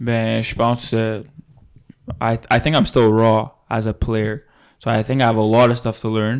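A man speaks very slowly with an English accent, at a medium pitch and in a monotone, flat delivery, leaving long, frequent pauses. The recording is very clean, with a silent background. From Laval, Quebec. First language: English (speaking French). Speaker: university football player. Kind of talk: casual interview.

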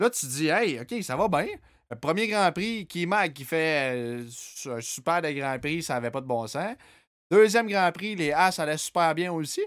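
On a very clean recording with a silent background, a man with a Quebec accent speaks very slowly, high in pitch and with lively intonation. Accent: Québécois French. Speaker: podcast host. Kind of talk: casual chat.

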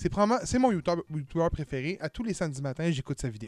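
The recording is dry and close, with no echo. A man's pitch swings very widely as he talks at a moderate pace. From Quebec, Montreal area. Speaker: podcast host. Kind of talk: casual chat.

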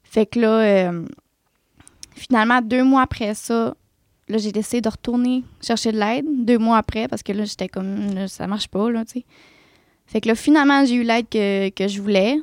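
At a moderate pace with long, frequent pauses, a woman speaks at a fairly high pitch with fairly even intonation, the sound dry and close with no echo. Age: 20s. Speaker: nail technician and esthetician. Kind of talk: testimony.

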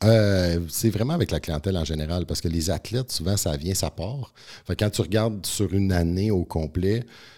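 A man speaks at a moderate pace in a dark, mellow tone with ordinary pitch variation, recorded very cleanly against a silent background. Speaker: naturopath and strength coach. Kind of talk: podcast interview.

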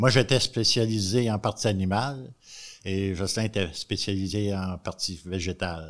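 In a normal speaking voice, a man talks at a fairly slow pace and fairly low pitch with ordinary pitch variation, on a very clean recording with a silent background. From Quebec, Montréal. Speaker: retired agriculture teacher.

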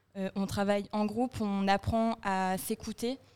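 A woman's medium-pitched, dark and mellow voice with monotone, flat intonation on a very clean recording with a silent background. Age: 20s. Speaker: communications student. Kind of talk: casual round-table chat.

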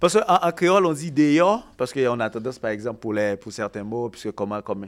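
On a very clean recording with a silent background, a man talks in an ordinary speaking voice with ordinary pitch variation. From Haiti. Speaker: podcast panelist. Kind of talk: casual chat.

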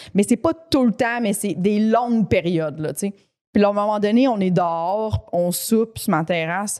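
In a Quebec accent, a woman sounds animated. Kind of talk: casual chat. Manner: animated, laughs often.

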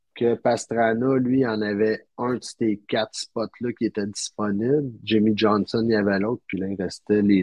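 The speech moves at a fairly slow pace with hardly any pauses and a fairly even intonation. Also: man. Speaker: podcast guest recounting a trip. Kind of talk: casual chat.

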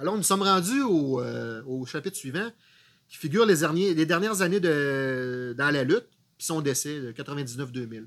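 Speaking at a moderate pace, a man uses an unremarkable speaking voice of fairly high pitch. His intonation is lively, and his loudness swings widely. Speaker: wrestling podcast co-host. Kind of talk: casual chat.

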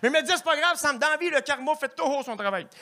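Using a raised, projected voice, a man with a Quebec accent speaks at an extremely high pitch with a bright, sharp tone and lively intonation. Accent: Québécois French. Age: 20s. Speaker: stand-up comedian. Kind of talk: stand-up.

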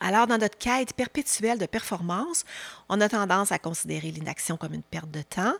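A woman's medium-pitched voice with vocal fry, lively intonation and a fairly quick pace. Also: dry, close sound with no echo. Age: 50s. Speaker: podcast host and leadership coach. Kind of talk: newsletter-style podcast monologue. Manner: warm, calm.

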